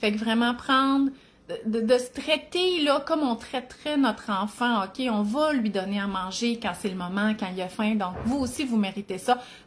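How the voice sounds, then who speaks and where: A woman with a Quebec accent talks at a fairly slow pace, her intonation lively. The recording is very clean, with a silent background. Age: 40s. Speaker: cookbook author and nutrition content creator. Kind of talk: live video chat. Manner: casual, filler-heavy.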